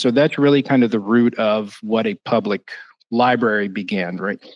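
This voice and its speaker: A man with a North Carolina accent at a moderate pace. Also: dry, close sound with no echo. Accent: Southern US, North Carolina. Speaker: library director. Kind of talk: panel discussion.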